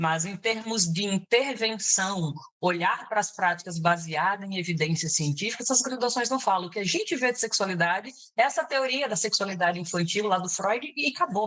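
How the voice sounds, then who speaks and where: Using lively intonation, a woman of medium pitch talks at a moderate pace. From Brazil, Bahia. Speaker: psychologist. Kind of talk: interview.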